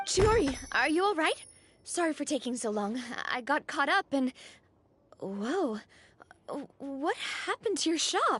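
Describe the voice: In a put-on character voice, a woman speaks fairly slowly at a high pitch with big pitch swings and a fairly bright tone, in a dry, close sound with no echo.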